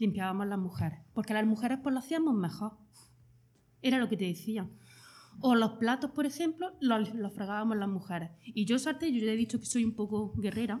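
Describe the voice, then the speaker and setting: Somewhat breathy and fairly high in pitch, a woman talks at a fairly quick pace with lively intonation. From Jaén, Andalusia. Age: 30s. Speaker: hospitality worker. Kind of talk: interview.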